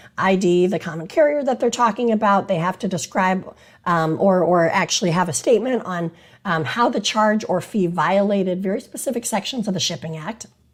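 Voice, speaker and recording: A woman speaks at a medium pitch. Her voice is somewhat breathy, at a moderate pace. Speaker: attorney. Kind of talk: casual talk to camera about maritime law. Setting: on location in Washington DC.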